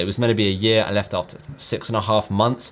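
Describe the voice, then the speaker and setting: The man talks at a very fast pace. His fairly low voice stays monotone and flat. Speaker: online business youtuber. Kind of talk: casual vlog talk to camera.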